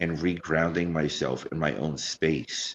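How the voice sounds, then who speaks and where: A man speaks with a very deep, low voice. Vocal fry runs through his words. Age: 40s. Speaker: podcast host. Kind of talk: casual chat.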